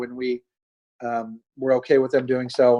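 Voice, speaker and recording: Speaking in a Midwestern accent, the voice moves at a moderate pace. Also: man. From US Midwest. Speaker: state rail official. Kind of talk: webinar presentation.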